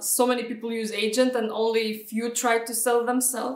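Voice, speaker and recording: Fairly high pitch from a woman with a Lithuanian accent at a moderate pace. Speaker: real estate agent. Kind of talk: interview answer.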